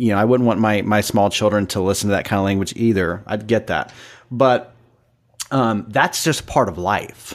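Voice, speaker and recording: A man with a fairly low pitch speaks at a moderate pace with fairly even intonation. He has a plain, everyday voice. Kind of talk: casual chat.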